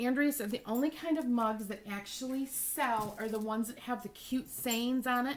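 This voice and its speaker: Moderate-paced female speech with ordinary pitch variation. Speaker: cosmetics sales consultant. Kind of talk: tutorial. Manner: hesitant, many fillers.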